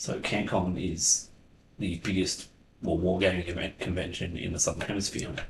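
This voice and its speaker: A man whispering, somewhat breathy, with an Australian accent. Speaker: wargaming channel host and event organiser. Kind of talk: casual chat. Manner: halting.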